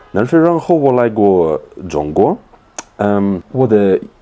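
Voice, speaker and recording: A man speaks with a fairly low pitch and very wide swings in pitch. Noticeable background noise runs under his voice. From Russia. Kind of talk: interview answer.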